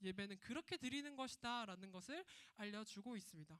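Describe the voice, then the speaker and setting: Her tone is animated, her intonation lively. The woman speaks at a fairly quick pace with a fairly high pitch. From Gyeongsang region, South Korea. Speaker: children's ministry preacher. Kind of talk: sermon for children.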